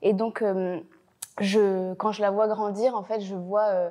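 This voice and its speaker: A dark, mellow tone at a fairly slow pace, on a very clean recording with a silent background. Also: woman. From Belgium, Brussels. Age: 20s. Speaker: actress. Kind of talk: interview. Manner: talkative, many hesitations.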